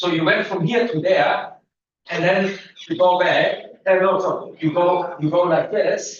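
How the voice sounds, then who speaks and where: A man speaks loudly and fairly slowly in a high voice with fairly even intonation, amid audible room echo. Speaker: physics lecturer. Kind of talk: lecture.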